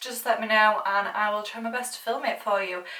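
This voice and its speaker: A woman speaks at a fairly quick pace with a fairly high pitch, and the room echo is audible. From UK. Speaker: beauty YouTuber, former makeup counter worker. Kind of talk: makeup tutorial, chatty get-ready-with-me. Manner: casual, rambling.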